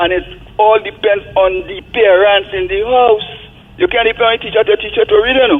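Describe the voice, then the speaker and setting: A man's high voice over background music, fairly quick in pace, with ordinary pitch variation. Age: 80s+. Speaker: caller. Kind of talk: call-in radio comment.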